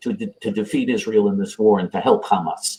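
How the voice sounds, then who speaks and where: Speaking at a fairly quick pace, a man with vocal fry swings his pitch very widely. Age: 60s. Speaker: right-wing political activist. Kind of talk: interview. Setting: live online video interview.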